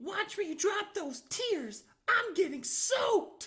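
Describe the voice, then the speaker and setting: This put-on character voice is squeaky and extremely high in pitch. It moves at a fairly slow pace. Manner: cross, annoyed.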